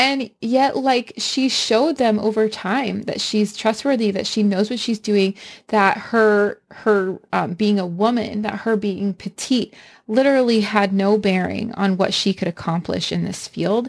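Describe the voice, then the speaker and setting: In a very clean recording with a silent background, a woman with an ordinary speaking voice talks fairly slowly at a fairly high pitch, with fairly even intonation. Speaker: podcast host. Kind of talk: podcast intro and interview.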